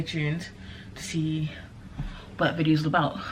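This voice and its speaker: A woman with a very deep, low pitch speaks at a fairly quick pace amid noticeable background noise and audible room echo. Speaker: vlogger. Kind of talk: casual vlog. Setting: small flat at home. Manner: hurried; talking quietly.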